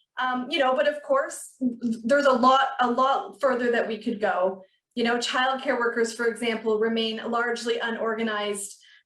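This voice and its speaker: A woman with a Canadian accent, high pitch and ordinary pitch variation, at a moderate pace with hardly any pauses, in audible room echo. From Ontario, Canada (Peterborough). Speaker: union officer. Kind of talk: panel discussion.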